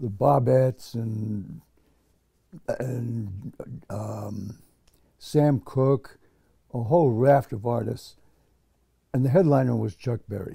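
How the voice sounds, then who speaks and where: Speaking very slowly with long, frequent pauses, a man with an American accent has a somewhat breathy, dark, mellow tone at medium pitch. His loudness swings widely while his pitch varies in an ordinary way. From US Northeast (Connecticut). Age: 80s+. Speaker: veteran musician. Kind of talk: interview. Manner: halting.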